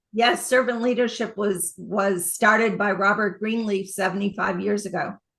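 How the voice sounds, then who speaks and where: A woman's monotone, flat delivery with hardly any pauses. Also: medium pitch for a woman, moderate pace. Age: 70s. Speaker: author and leadership consultant. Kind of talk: interview.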